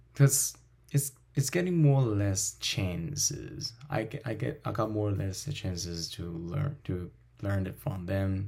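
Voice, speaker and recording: In a Chinese accent, a man with a fairly low pitch speaks at a fairly slow pace, somewhat breathy, with very wide pitch swings. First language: Mandarin Chinese. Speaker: language teacher and podcast host. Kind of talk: casual interview chat.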